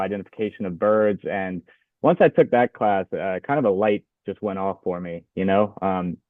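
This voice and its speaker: With an American accent, a man speaks at a moderate pace in a fairly low pitch. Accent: Louisiana accent, others notice it. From Louisiana, US South. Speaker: graduate student, waterfowl researcher. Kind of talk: podcast interview. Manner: hesitant, many fillers.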